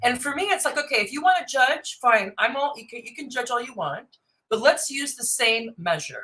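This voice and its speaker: Loud and projected, a woman with an American accent speaks at a moderate pace in a high, bright, sharp voice, her tone animated and her intonation lively. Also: big swings in loudness. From US West Coast. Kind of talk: casual chat.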